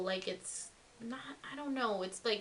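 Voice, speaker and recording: The speaker has a plain, everyday voice. Pitch varies in an ordinary way. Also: woman. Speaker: beauty vlogger. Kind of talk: product review. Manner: casual, filler-heavy.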